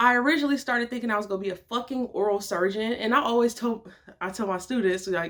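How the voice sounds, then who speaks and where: Talking at a very fast pace, a woman with a fairly high pitch uses an animated tone. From Detroit, Michigan. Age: 20s. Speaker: vlogger and model. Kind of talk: casual vlog talk.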